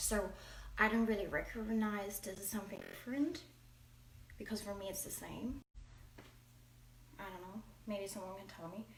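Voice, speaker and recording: Amid audible room echo, a woman speaks at a medium pitch and moderate pace with ordinary pitch variation and long, frequent pauses. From Germany. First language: German. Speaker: home cooking vlogger. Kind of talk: cooking tutorial. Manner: halting.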